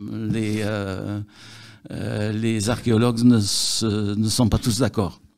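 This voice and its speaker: A man speaks at a very slow pace with a fairly low pitch. His intonation is monotone and flat. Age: 70s. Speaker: local historian, longtime resident. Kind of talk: interview. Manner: halting, many hesitations and repetitions.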